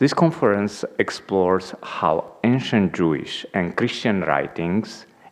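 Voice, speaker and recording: The voice moves at a very slow pace with lively intonation. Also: man. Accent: non-native. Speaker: institute president, conference chair. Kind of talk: conference welcome address. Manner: hesitant, many fillers.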